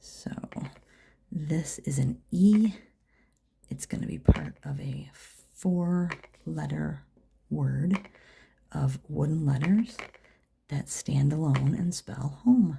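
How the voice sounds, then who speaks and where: Speaking at a very slow pace, a soft-spoken woman leaves long, frequent pauses. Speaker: dot art painter. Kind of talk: ASMR painting tutorial talk. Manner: quiet, soft-spoken.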